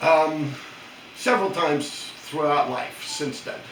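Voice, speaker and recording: Noticeable background noise and audible room echo accompany a man speaking with a New York accent at a fairly high pitch. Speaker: YouTuber. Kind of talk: casual chat. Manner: tough-sounding.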